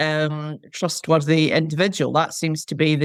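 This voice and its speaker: In a very clean recording with a silent background, a woman speaks in a Scottish accent with a very deep, low pitch, the sound dry and close with no echo. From Scotland, Lanarkshire. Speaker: retired market researcher and charity volunteer. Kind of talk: podcast interview.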